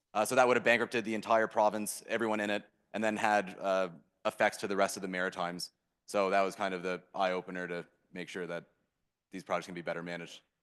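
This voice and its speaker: With a Canadian accent, a man speaks at a very fast pace in a fairly low pitch. His intonation is fairly even, and the background is quiet. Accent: Canadian, apparent. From Canada. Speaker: startup founder. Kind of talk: Q&A interview on stage.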